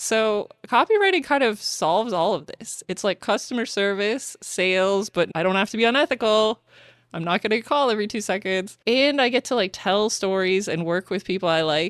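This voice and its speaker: A woman's medium-pitched, animated voice with a slight Canadian accent, moderate pace and ordinary pitch variation, in a very clean recording with a silent background. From Canada. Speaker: podcast host, copywriter. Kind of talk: casual chat.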